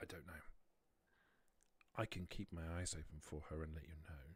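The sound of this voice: A man puts on a character voice with an extremely low pitch and a husky, rough edge. His intonation stays fairly even. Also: moderate pace.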